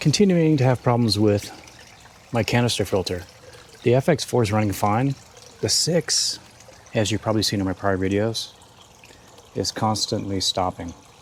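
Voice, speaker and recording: Soft-spoken and calm, a man with a fairly low pitch talks at a moderate pace with ordinary pitch variation and long, frequent pauses, amid noticeable background noise. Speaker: aquarium hobbyist YouTuber. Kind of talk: tutorial.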